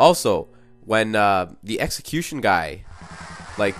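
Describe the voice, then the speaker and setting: Very wide pitch swings from a man, with noticeable background noise behind him. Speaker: video game reviewer. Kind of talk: casual video game commentary narration.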